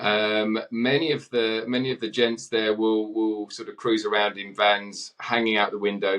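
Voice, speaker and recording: Here a man speaks in an Essex accent at a medium pitch. His pace is moderate and his pitch varies an ordinary amount. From Essex, England. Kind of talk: interview answer.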